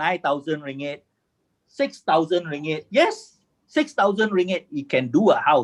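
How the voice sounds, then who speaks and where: In a Malaysian accent, a man speaks with very wide pitch swings. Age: 60s. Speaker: construction engineer and formwork inventor. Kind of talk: webinar presentation. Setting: video call. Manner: halting, repetitive.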